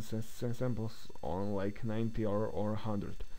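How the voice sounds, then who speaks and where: The voice has a dark, mellow tone and monotone, flat intonation at a moderate pace. Audible room echo surrounds it. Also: man. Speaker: software tutorial creator. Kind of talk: tutorial. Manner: halting.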